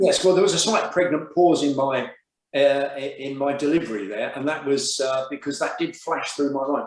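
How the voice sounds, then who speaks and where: With a South Coast English accent, a man talks at a moderate pace with ordinary pitch variation. His pitch is fairly high, and audible room echo surrounds him. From southern England, Brighton and Hove. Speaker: business group chair. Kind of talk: interview.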